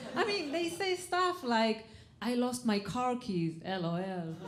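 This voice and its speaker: A woman with an Israeli accent speaks at a fairly slow pace in a fairly high pitch, with very wide pitch swings. Audible room echo and noticeable background noise are present. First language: Hebrew. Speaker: comedian. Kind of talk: stand-up. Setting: stage with audience.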